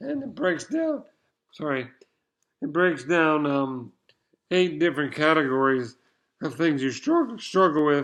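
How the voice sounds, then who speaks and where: Against a quiet background, a man with a fairly high voice speaks fairly slowly with long, frequent pauses and ordinary pitch variation. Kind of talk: casual vlog monologue. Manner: halting, repeats words.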